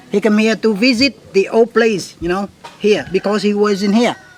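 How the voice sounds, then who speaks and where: A man speaks at a high pitch and a moderate pace. There is noticeable background noise. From central Vietnam. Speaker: tour guide. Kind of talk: interview. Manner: halting.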